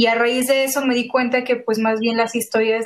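In a plain, everyday voice, a woman talks at a moderate pace with a fairly high pitch and fairly even intonation. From Mexico, San Luis Potosí. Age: 20s. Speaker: illustrator and graphic designer. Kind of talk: casual interview chat.

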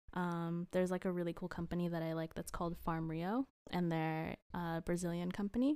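A woman with an unremarkable speaking voice and an American accent talks at a fairly quick pace, with a fairly low pitch and fairly even intonation. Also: very clean recording, silent background. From Costa Rica and Houston, Texas. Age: 20s. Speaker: design student. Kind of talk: casual chat.

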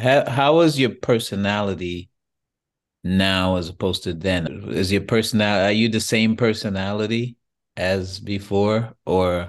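The speaker has an ordinary speaking voice, moving at a fairly slow pace with ordinary pitch variation. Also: man, fairly low pitch for a man. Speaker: podcast host. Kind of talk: interview. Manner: casual, encouraging.

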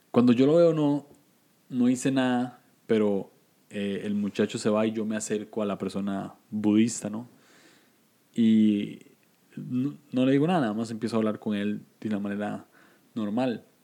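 Speaking with a Costa Rican accent, a man with a dark, mellow tone and fairly low pitch talks at a fairly slow pace with long, frequent pauses. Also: ordinary pitch variation. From Costa Rica, San José. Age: 20s. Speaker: podcaster. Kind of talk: casual chat.

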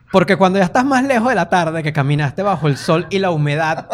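A high-pitched man talks at a fairly quick pace against noticeable background noise. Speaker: comedian. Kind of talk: casual chat. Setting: studio with small audience.

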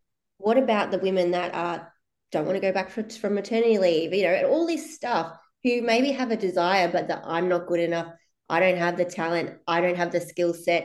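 This woman has an ordinary speaking voice with a fairly low pitch and ordinary pitch variation. She talks at a fairly quick pace. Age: 30s. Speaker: business coach. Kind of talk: casual chat. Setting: video call.

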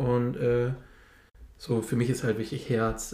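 This man's voice sits at a medium pitch and is somewhat breathy. His tone is dark and mellow. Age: 30s. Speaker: podcast co-host. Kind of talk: casual chat.

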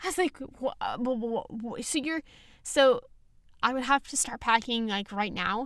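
A woman speaks at a very slow pace with a high pitch. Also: ordinary pitch variation. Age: young. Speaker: podcast host. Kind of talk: casual chat. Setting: home recording.

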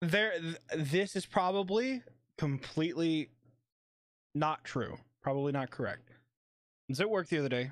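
A man with an American accent and a fairly high pitch speaks at a moderate pace with lively intonation and long, frequent pauses, on a very clean recording with a silent background. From Kentucky. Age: 20s. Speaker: podcast co-host and streamer. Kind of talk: casual chat. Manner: animated.

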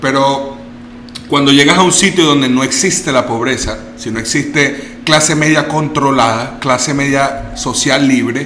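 A man speaks in a room with audible echo. Background noise is noticeable throughout. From Venezuela. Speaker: guest talking about investing abroad. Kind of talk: casual interview. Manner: halting, with many repetitions.

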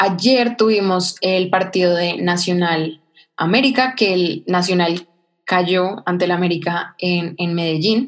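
A woman with an unremarkable speaking voice talks fairly slowly at medium pitch, keeping her intonation fairly even. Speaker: sports podcast co-host. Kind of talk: casual chat.

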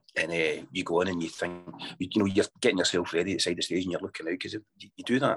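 Music plays in the background as a man talks very fast in a Scottish accent, the sound dry and close with no echo. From Scotland. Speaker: bagpipe band founder and piper. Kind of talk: interview.

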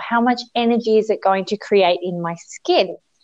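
A woman with an Australian accent speaks at a fairly high pitch and a moderate pace, her intonation lively. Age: 30s. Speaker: beauty industry educator. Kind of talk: interview.

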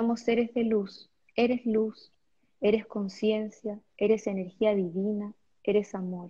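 Her fairly high pitch comes with a dark, mellow tone and a somewhat breathy, calm, soothing tone. The woman speaks at a very slow pace with monotone, flat intonation. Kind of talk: guided meditation.

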